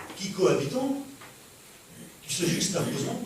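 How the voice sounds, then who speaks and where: Speaking at a moderate pace with lively intonation, a man is heard over noticeable background noise in a recording with audible room echo. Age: 60s. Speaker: pastor. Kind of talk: sermon. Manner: halting, frequent repetitions.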